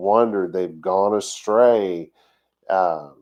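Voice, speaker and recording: A man in a Texas accent at a fairly low pitch, very slow in pace and fairly even in intonation. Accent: Texas drawl. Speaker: congregation teacher. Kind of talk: sermon. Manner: halting.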